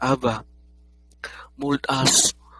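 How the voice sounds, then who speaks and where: A solemn tone comes through a dry, close sound with no echo, with noticeable background noise behind it. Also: man. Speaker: prayer leader. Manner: earnest, solemn, pleading; slow, measured, reverent.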